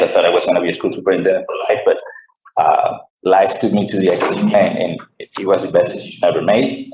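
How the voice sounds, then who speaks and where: Speaking in a Venezuelan accent, a man talks at a very fast pace. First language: Spanish. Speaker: professor. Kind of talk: formal presentation. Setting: school board meeting.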